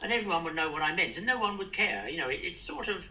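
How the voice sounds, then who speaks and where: Over noticeable background noise and audible room echo, a man talks with very wide pitch swings. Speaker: former ambassador. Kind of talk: interview.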